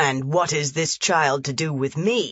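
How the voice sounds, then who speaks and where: A gruff, put-on character voice with low-to-middle pitch and a fairly slow pace. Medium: read story. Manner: gruff, curt.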